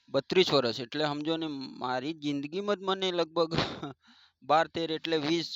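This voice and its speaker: The man's intonation stays fairly even. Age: 30s. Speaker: YouTuber and manual labourer. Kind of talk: motivational vlog monologue. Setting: sitting by a road, waiting. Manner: halting.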